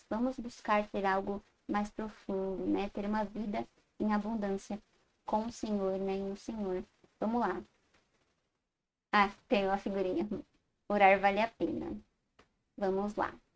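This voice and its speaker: A woman speaks at a medium pitch with fairly even intonation, taking a fairly slow pace and long, frequent pauses. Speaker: Sunday school teacher. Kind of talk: Bible class lecture. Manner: halting, self-correcting.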